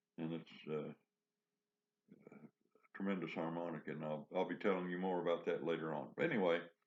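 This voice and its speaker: This croaky voice moves at a fairly quick pace with fairly even intonation. Long pauses break it up often. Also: man, very deep, low pitch for a man. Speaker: harmonica teacher. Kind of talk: tutorial.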